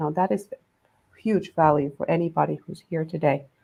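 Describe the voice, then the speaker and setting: Her intonation stays fairly even. The woman talks with a non-native accent. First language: not English. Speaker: panel moderator. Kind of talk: panel introductions.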